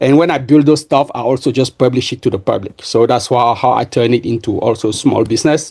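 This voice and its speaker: His pitch is medium for a man, with ordinary variation, and he talks at a fairly quick pace with a French accent. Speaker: software engineer and entrepreneur. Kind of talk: podcast interview. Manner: halting, many fillers and repeats.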